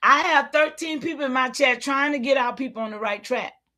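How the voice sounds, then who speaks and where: On a very clean recording with a silent background, a woman with a high pitch uses a raised, projected voice with a bright, sharp tone at a moderate pace. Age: 70s. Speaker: livestream host. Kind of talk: livestream rant. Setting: live stream with chat. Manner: animated.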